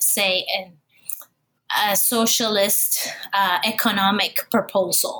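With fairly even intonation, a woman talks at a fairly high pitch. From Puerto Rico. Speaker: academic author. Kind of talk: interview. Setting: remote call.

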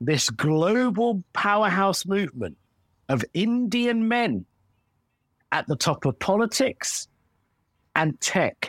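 With an English accent, a man speaks at a high pitch and a very slow pace, leaving long, frequent pauses, his intonation lively and his loudness very even. The recording is very clean, dry and close, with a silent background and no echo. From England. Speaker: comedian. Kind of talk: comedy sketch chat. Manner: animated.

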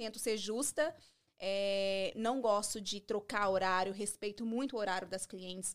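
A normal speaking voice at a fairly slow pace with ordinary pitch variation. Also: woman, medium pitch for a woman, very clean recording, silent background. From Brazil, Minas Gerais. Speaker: beauty salon owner, esthetician. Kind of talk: podcast interview.

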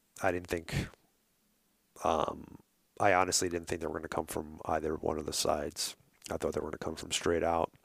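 In a very clean recording with a silent background, a man with a New York accent speaks at a moderate pace in a very deep, low pitch. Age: 40s. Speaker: hunting outfitter and podcaster. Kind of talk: casual interview chat. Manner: halting.

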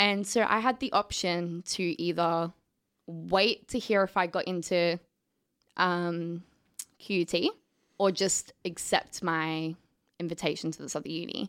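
A woman speaks in an Australian accent, her pitch fairly low. Long, frequent pauses break up her speech in a very clean recording with a silent background. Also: fairly slow pace. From Australia, southeast Queensland. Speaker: film student. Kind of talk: casual interview chat.

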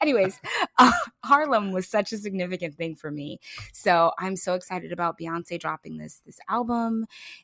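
A woman with a bright, sharp, animated tone and lively intonation at a moderate pace, in a dry, close sound with no echo. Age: 30s. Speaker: podcast host. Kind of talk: casual chat.

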